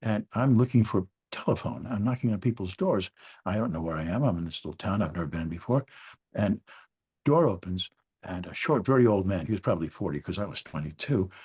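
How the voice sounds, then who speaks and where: A man talks at a very fast pace with lively intonation and a fairly low pitch, his voice somewhat breathy, the sound dry and close with no echo over a quiet background. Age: 70s. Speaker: former journalist, grieving father. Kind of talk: personal storytelling.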